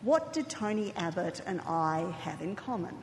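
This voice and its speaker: With an Australian accent, a woman of medium pitch talks at a fairly slow pace amid audible room echo and noticeable background noise. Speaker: think tank director. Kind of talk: conference speech.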